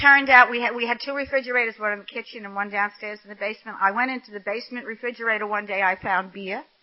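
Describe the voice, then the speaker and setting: Speaking very fast with an American accent, a woman's fairly high voice keeps fairly even intonation while her loudness swings widely. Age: 80s+. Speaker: AA speaker. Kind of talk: recovery testimony.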